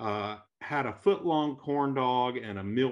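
Quiet surroundings, a man's moderate pace and ordinary pitch variation. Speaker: functional medicine doctor. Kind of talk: interview. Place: home room. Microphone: video call.

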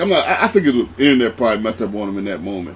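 A man speaks in an animated, excited tone. There is music in the background. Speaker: gaming YouTuber. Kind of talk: live sports commentary over video game play, play-by-play narration. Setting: recorded voiceover for gameplay video. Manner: animated, rapid play-by-play patter with excited exclamations; casual, filler-heavy, repeats 'man'.

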